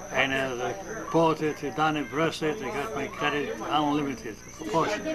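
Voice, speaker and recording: Noticeable background noise and audible room echo surround a man speaking at a moderate pace. His pitch is fairly high, with ordinary variation. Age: 80s+. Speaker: shopkeeper. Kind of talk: family interview. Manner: halting.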